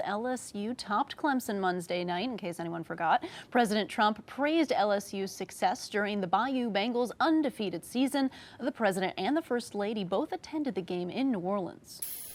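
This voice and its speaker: A woman's fairly high, unremarkable speaking voice at a moderate pace, with lively intonation. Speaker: television news anchor. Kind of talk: TV news anchor delivery.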